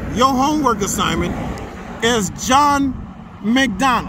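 Delivery comes at a fairly slow pace. Noticeable background noise sits under a dry sound with no echo. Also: man. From New Orleans. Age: 50s. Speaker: history educator. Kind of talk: walking tour video lecture. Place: street. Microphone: phone near.

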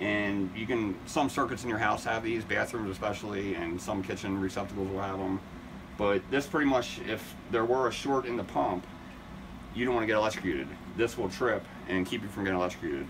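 Over noticeable background noise, a man speaks at a fairly quick pace in a fairly low pitch with ordinary pitch variation. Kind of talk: tutorial. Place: shop. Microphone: phone near.

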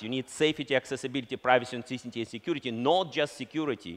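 Speaking at a very fast pace with ordinary pitch variation, a man with a Russian accent is heard over a quiet background. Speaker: company founder and CEO; keynote speaker. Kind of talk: conference keynote speech. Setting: stage with audience. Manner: halting. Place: stage.

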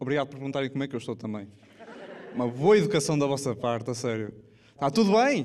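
A fairly high man's voice at a very fast pace, broken by long, frequent pauses, over light background noise. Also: lively intonation. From Portugal. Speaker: stand-up comedian. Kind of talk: stand-up comedy to a live audience. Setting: live theatre with audience. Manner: casual, jokey, conversational. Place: stage. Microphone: handheld.

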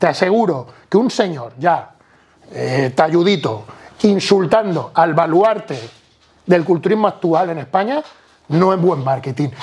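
With lively intonation and a high pitch, a man talks at a fairly slow pace, leaving long, frequent pauses. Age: 40s. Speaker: bodybuilder; podcast guest. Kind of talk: casual chat. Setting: at home, on a sofa. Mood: casual, animated. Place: home room. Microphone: lapel.

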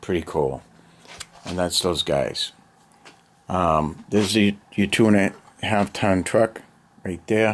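Speaking at a very slow pace with long, frequent pauses, a man has a fairly low voice and a relaxed tone. His pitch varies in an ordinary way. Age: 50s. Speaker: hobbyist video maker. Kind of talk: casual show-and-tell. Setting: home basement. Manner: relaxed, hesitant with fillers. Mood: relaxed, nostalgic. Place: home room. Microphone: phone near.

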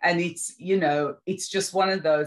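A woman with a normal speaking voice, fairly low pitch and fairly even intonation in a quiet background. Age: 60s. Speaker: sickle cell patient. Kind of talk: interview answer. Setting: video call. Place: home room. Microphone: video call.

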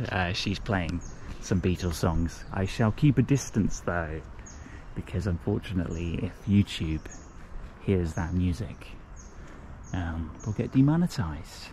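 Somewhat breathy and dark, mellow in tone, a man with a very deep, low pitch talks at a fairly slow pace with long, frequent pauses, in a dry sound with no echo and light background noise. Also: ordinary pitch variation. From southern England. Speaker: travel vlogger. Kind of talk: travel vlog narration. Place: forest. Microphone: phone near.

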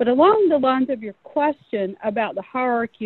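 High-pitched female speech, moderately paced, its pitch varying in an ordinary way. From North Carolina. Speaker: corporate safety manager. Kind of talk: panel discussion.

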